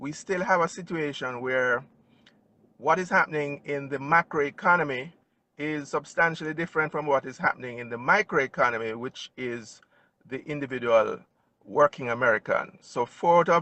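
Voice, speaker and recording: In a Jamaican accent, a man talks at a moderate pace with a fairly high pitch and ordinary pitch variation. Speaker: financial advisor. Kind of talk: interview. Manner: formal.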